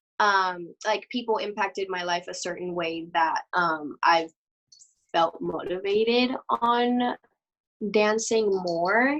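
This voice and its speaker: With a Mexican accent, a woman speaks at a very slow pace and medium pitch, showing ordinary pitch variation in a dry, close sound with no echo. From Mexico. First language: Spanish. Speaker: dancer. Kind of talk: interview. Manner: halting.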